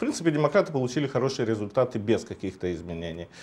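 This man's voice moves in very wide pitch swings. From Moldova. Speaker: political scientist; talk show guest. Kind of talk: TV political talk show discussion. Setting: TV studio. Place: studio. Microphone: lapel.

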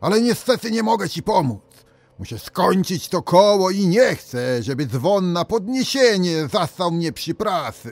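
A man's gruff, put-on character voice, high in pitch with very wide pitch swings, at a moderate pace, in a very clean recording with a silent background. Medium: read story. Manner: gruff, reassuring.

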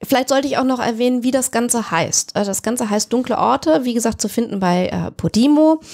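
A woman talks at a fairly quick pace in a high pitch, with ordinary pitch variation and very even loudness. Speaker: podcast co-host. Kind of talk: casual chat. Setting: studio.

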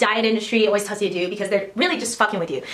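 A woman speaks with ordinary pitch variation, with faint music in the background and audible room echo. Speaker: vlogger. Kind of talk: casual vlog chat. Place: gym. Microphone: phone near.

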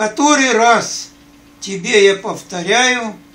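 Raising and projecting his high voice, a man speaks at a very slow pace. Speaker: grandfather. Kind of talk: reading aloud. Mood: tender, sentimental. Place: home room. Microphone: phone near.

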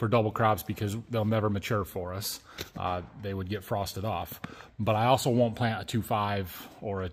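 This man has a plain, everyday voice with a fairly low pitch and fairly even intonation. He keeps a moderate pace, with light background noise behind him. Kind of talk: casual vlog chat. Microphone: phone near.

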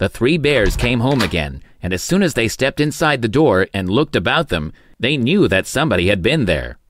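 Someone reads aloud plainly.

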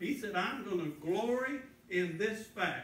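Lively intonation marks this man's speech, with audible room echo and light background noise. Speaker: preacher. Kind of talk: sermon. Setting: church. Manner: earnest, pleading, pausing to stress points. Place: church. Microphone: camera far.

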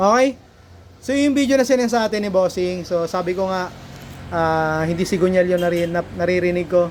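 This man talks fairly quickly. His pitch sits high. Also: ordinary pitch variation. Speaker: motorcycle mechanic and vlogger. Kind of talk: casual video vlog, shop demonstration.

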